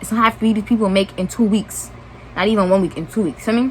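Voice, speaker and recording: There is noticeable background noise in this clip. A woman talks with an American accent. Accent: New York accent, slight southern touch. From New York (Brooklyn). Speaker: YouTuber. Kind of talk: storytime vlog. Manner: casual, rambling asides.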